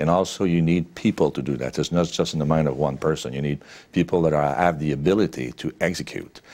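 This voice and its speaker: In a Quebec accent, a man talks at a very fast pace with a very deep, low pitch and vocal fry. His intonation is fairly even, and the recording is very clean against a silent background. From Quebec, Sherbrooke. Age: 60s. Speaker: businessman. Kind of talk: interview. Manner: frequent fillers and hesitations.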